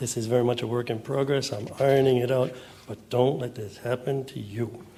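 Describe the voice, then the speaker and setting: A man with an American accent speaks with audible room echo. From US Northeast, Boston. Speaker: young adult novelist and writing teacher. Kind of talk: author reading to an audience. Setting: stage with audience. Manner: fast reading.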